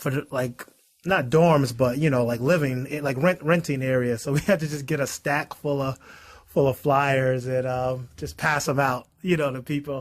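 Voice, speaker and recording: Speaking with a Boston accent, a man uses a fairly high pitch. His pace is moderate and his intonation fairly even. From Boston, Massachusetts. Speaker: investor and accountant. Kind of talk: casual chat.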